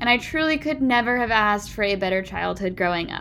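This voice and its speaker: With a Pacific Northwest accent, a woman speaks at a moderate pace in a fairly high pitch and lively intonation. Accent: General American (Pacific Northwest). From US Pacific Northwest (Puyallup, Washington). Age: 20s. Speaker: podcast host. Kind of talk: casual monologue. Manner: conversational.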